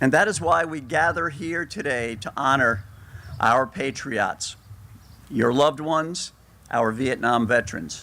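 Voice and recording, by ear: A man at a slow pace and medium pitch, with a bright, sharp tone. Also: ordinary pitch variation.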